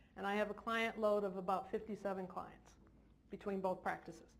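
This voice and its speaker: A woman with a medium-pitched voice talks in a space with audible room echo. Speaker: therapist. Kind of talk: seminar talk. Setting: stage with audience.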